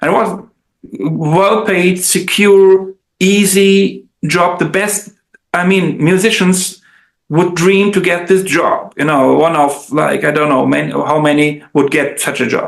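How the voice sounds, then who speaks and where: Speaking at a fairly slow pace with fairly even intonation, a man with a high pitch talks in a German accent. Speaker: translator and musician. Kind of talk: casual chat. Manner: halting.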